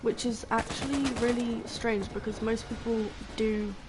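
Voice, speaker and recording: Over music in the background, a woman with an English accent speaks at a fairly slow pace, with audible room echo. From England. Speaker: video game streamer. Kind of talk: casual chat. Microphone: headset mic distorts voice.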